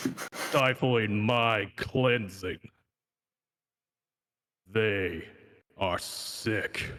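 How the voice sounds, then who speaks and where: A man's raspy, put-on character voice at medium pitch. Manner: ominous.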